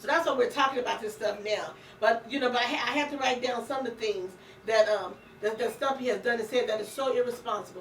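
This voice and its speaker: The voice sounds animated, moving at a very fast pace with ordinary pitch variation. Noticeable background noise and audible room echo fill the recording. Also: woman, high pitch for a woman. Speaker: radio talk show host. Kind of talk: casual political chat. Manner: stammering when agitated.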